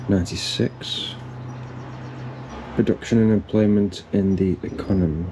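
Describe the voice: A man's low voice has a dark, mellow tone and fairly even intonation at a fairly slow pace. Faint background noise sits behind him.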